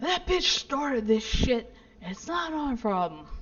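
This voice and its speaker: A woman's put-on character voice, gruff and high-pitched, shouting at a fairly slow pace. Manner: aggressive, yelling.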